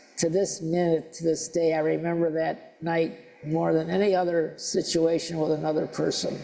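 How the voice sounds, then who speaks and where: With audible room echo around him, a man speaks at a moderate pace in a fairly high pitch. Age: 70s. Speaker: lay speaker at a church service. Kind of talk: sermon. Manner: halting.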